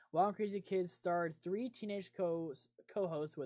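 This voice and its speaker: A woman's dark, mellow voice, fairly low in pitch. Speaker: podcast host. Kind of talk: casual chat. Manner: low volume. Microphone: set quieter than co-hosts.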